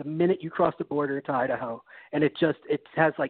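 Speaking at a fairly quick pace with a fairly high pitch, a man has a plain, everyday voice and an American accent. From New York City. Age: 30s. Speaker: fantasy football analyst. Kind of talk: podcast interview.

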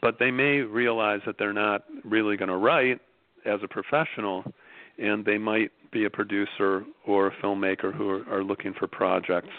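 Fairly low in pitch, a man with an American accent talks at a moderate pace with fairly even intonation. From Chicago, US Midwest. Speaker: screenwriting teacher, school founder. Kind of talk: interview. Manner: hesitant, many fillers.

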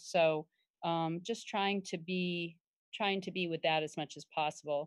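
A woman with an American accent talks at a fairly slow pace. Her pitch is very deep and low, over a quiet background. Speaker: aspiring content creator. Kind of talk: casual chat. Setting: video call.

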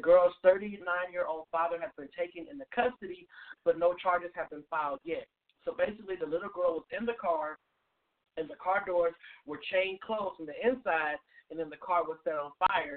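With a dry, close sound and no echo, a man speaks fairly quickly at a high pitch, varying it in an ordinary way.

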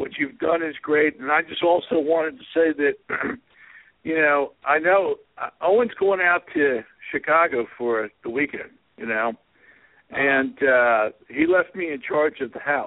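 A man with a normal speaking voice, fairly high in pitch, at a fairly slow pace with lively intonation. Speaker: caller. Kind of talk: joking banter.

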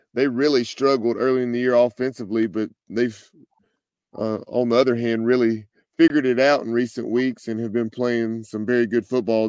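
A man talks at a moderate pace and medium pitch in a flat monotone. The sound is dry and close, with no echo. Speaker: sports podcaster. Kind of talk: casual chat.

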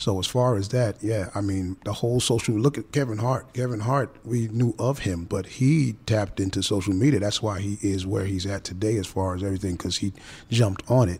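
A man with a New York accent talks at a fairly quick pace with hardly any pauses. His voice is fairly low in pitch and somewhat breathy. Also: ordinary pitch variation. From the Bronx, New York. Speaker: author and comedian. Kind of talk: panel discussion. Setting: studio. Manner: halting, many fillers.

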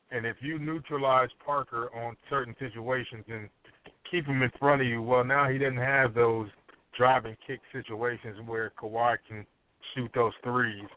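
A man of medium pitch, fairly slow and with fairly even intonation. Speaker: sports analyst. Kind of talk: casual sports talk. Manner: halting, many fillers.

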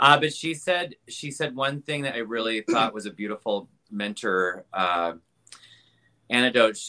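Lively intonation marks this man's speech in a Midwestern American accent. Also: medium pitch for a man, fairly slow pace. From Wisconsin, US Midwest. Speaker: pianist and Liberace tribute artist. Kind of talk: casual interview chat.

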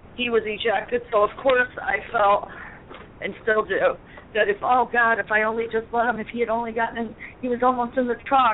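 Against noticeable background noise, a woman with an American accent speaks at a fairly quick pace, her fairly high voice keeping a fairly even intonation. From Connecticut. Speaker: caller. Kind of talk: casual chat. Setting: phone call.

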